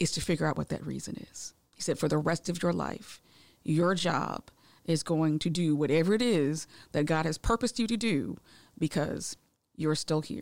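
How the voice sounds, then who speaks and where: A woman's very deep, low voice with vocal fry and an American accent, moderate in pace with ordinary pitch variation, in a very clean recording with a silent background. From Massachusetts. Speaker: heart attack survivor and educator. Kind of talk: interview testimony.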